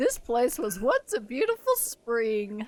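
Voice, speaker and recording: A fairly slow pace marks this speech. The voice is a put-on character voice. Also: female-sounding voice, high pitch for a woman. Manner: bombastic, theatrical.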